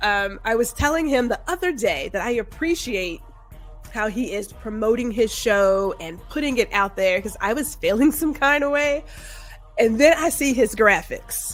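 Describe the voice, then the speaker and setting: A woman speaks at a moderate pace with a high pitch. Her pitch swings very widely, and music plays in the background. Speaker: podcast host. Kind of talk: casual podcast talk. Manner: stutters at times.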